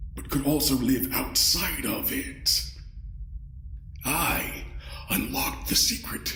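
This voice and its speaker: A man speaks in a put-on character voice. His pace is very slow, with slight echo. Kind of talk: audio drama acting. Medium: audio drama. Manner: courtly, polite, coldly menacing.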